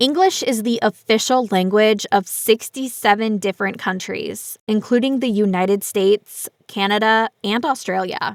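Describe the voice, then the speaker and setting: A woman with an American accent, fairly high in pitch, with ordinary pitch variation and hardly any pauses, on a very clean recording with a silent background and a dry, close sound with no echo. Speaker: English teacher. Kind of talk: reading aloud. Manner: slow.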